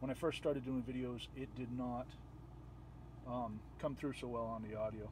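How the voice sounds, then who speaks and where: Mumbling at a moderate pace, a man at medium pitch sounds somewhat breathy, with flat, monotone intonation and long, frequent pauses. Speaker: video tutorial creator. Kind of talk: tutorial. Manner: soft-spoken.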